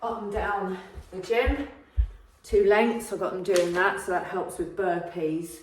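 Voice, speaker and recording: A woman speaks with an English accent at a medium pitch with ordinary pitch variation. Audible room echo and noticeable background noise surround her voice. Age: 60s. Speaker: fitness vlogger. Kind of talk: casual vlog update. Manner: hesitant, many fillers.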